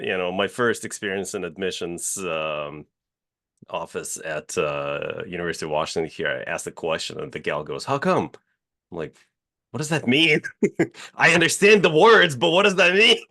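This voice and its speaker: A man speaks at a moderate pace. He has a slight Russian accent. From Russia, Moscow. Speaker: real estate company CEO. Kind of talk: podcast interview. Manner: hesitant, many filler uhs.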